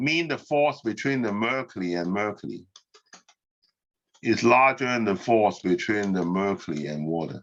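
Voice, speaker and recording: This man has an unremarkable speaking voice and fairly low pitch. His intonation is lively. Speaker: physics professor. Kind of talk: lecture. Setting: online class.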